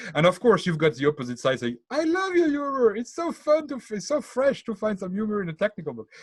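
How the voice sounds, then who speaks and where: Here a man speaks with a French accent. His pitch swings very widely. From France. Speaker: tech book author. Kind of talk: podcast interview. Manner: halting, many repetitions.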